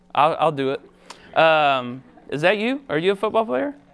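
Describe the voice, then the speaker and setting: This is a man speaking with an American accent. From Ohio, US Midwest. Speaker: pastor. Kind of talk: sermon.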